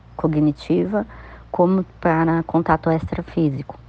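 Very deep and low in pitch, a woman speaks at a fairly slow pace with fairly even intonation. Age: 50s. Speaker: spiritual practitioner. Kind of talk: personal testimony.

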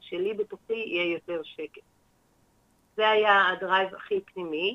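Fairly slow female speech with ordinary pitch variation. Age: 60s. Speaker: holistic therapist, former teacher. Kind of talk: radio interview.

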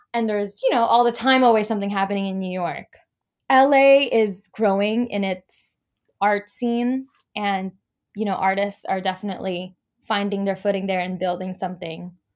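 An American-accented woman talks at a moderate pace and a medium pitch in an ordinary speaking voice. Her intonation is fairly even. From US West Coast, Los Angeles. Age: young. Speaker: freelance dancer and Pilates coach. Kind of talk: interview.

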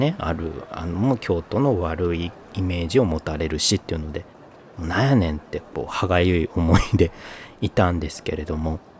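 With a very deep, low pitch, a man speaks at a moderate pace over noticeable background noise. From northern Kyoto Prefecture coast, Japan. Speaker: podcast host. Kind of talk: casual solo podcast talk.

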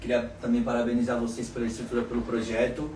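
A man at a medium pitch talks at a very fast pace in a monotone, flat delivery. Audible room echo and noticeable background noise surround him. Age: 30s. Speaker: restaurant owner, entrepreneur. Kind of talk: casual interview chat.

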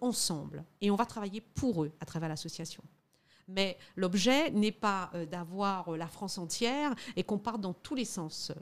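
A woman uses an ordinary speaking voice at medium pitch with lively intonation. Her pace is moderate, and the recording is very clean with a silent background. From Guadeloupe. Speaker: lawyer and lobbyist. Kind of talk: interview.

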